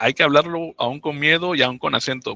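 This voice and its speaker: A man at a medium pitch and moderate pace, with a Mexican accent. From Mexico, Oaxaca. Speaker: migrant, doctoral graduate and author. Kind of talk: interview storytelling.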